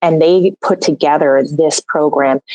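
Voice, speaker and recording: The woman speaks with a very deep, low pitch. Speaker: holistic nutritionist and metabolic balance coach. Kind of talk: podcast interview.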